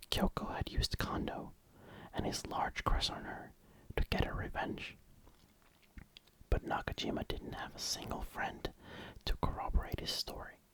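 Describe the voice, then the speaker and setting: Someone whispers in a calm, relaxed tone, leaving long, frequent pauses. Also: moderate pace. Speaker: ASMR reader / YouTuber. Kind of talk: ASMR novel narration. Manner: calm, relaxed, soft-spoken.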